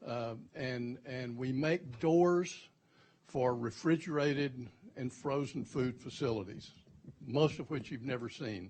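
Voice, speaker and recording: A man with a Texan accent speaks at a fairly slow pace, his voice somewhat breathy. His pitch is medium, with ordinary pitch variation. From Texas. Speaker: company CEO, panelist. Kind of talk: panel talk. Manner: halting, many repeated words.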